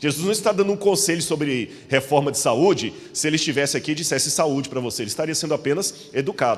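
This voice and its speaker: A man talks very fast with hardly any pauses, his fairly high voice rising and falling in a lively way over noticeable background noise. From Minas Gerais, Brazil. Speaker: preacher. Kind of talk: sermon.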